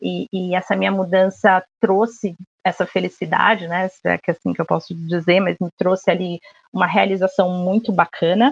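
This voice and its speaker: A medium-pitched woman at a moderate pace with fairly even intonation, in a dry, close sound with no echo. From Rio de Janeiro, Brazil. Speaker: marketing and media professional. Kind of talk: casual interview chat. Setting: remote recording from home.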